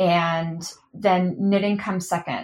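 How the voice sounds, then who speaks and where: A woman's ordinary speaking voice, fairly low in pitch, with an American accent and fairly even intonation against a quiet background. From Oklahoma, England and Texas. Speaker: knitwear manufacturer. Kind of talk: interview conversation.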